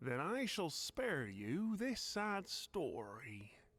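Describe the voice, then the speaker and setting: A man's high-pitched put-on character voice, very slow, with very wide pitch swings. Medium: video game. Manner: breezy, chatty.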